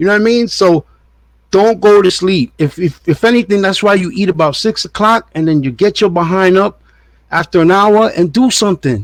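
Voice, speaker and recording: Moderate pace in a New York accent, with ordinary pitch variation, very even loudness and a dry, close sound with no echo. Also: man, high pitch for a man. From New York, Puerto Rican family. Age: 50s. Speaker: diet and fitness vlogger. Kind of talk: casual monologue. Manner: casual, repetitive stammering.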